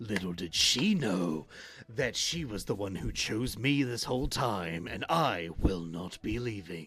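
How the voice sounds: Using a put-on character voice, a man speaks at a fairly slow pace in a husky, fairly low voice with lively intonation.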